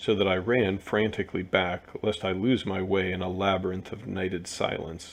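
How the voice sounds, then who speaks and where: A man speaks at a moderate pace with a very deep, low pitch. His intonation stays fairly even. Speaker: audiobook narrator. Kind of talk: reading aloud. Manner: monotone.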